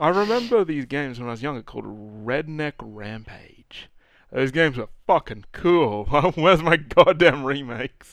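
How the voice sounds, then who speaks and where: Against a quiet background, a man with an Australian accent and fairly high pitch talks at a moderate pace, with lively intonation and big swings in loudness. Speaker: podcast co-host. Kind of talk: casual chat.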